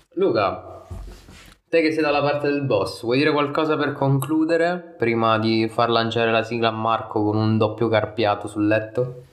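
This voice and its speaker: Amid audible room echo, a man speaks at medium pitch with ordinary variation and very even loudness. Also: moderate pace. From southern Italy. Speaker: podcast host. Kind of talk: casual chat.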